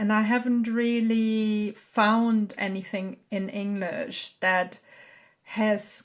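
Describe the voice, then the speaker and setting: With a monotone, flat intonation, a woman speaks at a medium pitch in a very clean recording with a silent background. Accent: German. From Germany. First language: German. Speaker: podcast host, artist and herbalist. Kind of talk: solo podcast talk. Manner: halting.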